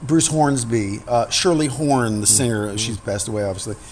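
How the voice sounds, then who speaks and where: Fairly quick speech from a man with an American accent. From New York. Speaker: singer-songwriter and pianist. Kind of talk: interview answer. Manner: candid, reflective.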